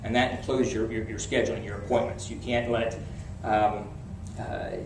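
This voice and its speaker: There is noticeable background noise and audible room echo. A man at a medium pitch speaks at a very fast pace. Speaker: real estate coach and speaker. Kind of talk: seminar talk. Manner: repetitive halting restarts.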